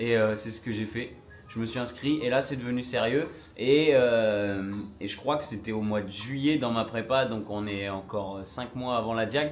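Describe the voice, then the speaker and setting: Over music in the background and audible room echo, a man at medium pitch speaks at a fairly slow pace with fairly even intonation. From northern France. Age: 20s. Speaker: trail runner and content creator. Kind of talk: casual live stream Q&A. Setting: Instagram live at home. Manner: casual, lots of filler hesitations.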